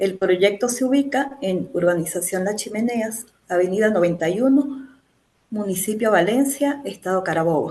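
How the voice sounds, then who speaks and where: In an Andean Venezuelan accent, a woman talks at a moderate pace and medium pitch, with lively intonation and a dark, mellow tone. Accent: Andean Venezuelan (Mérida). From Venezuela, Mérida (Andes). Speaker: mechanical engineer, master's student. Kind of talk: thesis defense presentation. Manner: hesitant, many fillers.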